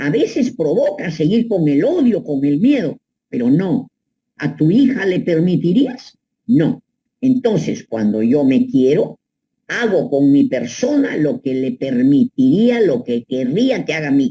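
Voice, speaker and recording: A woman speaks at a fairly slow pace in a fairly low pitch, with very wide pitch swings. Her tone is dark and mellow, and somewhat breathy. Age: 80s+. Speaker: psychoanalyst. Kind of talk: advice monologue. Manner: animated.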